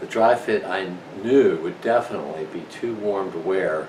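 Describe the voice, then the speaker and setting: A man keeps a moderate pace while noticeable background noise and audible room echo fill the recording. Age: 60s. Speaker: senior marathon runner. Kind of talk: casual talk to camera. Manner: halting, many fillers.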